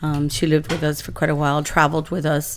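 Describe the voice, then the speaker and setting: At a fairly quick pace, a woman speaks with a very deep, low pitch and monotone, flat intonation. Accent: American. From Southern California (Imperial Valley). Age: 60s. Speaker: local politician. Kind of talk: interview.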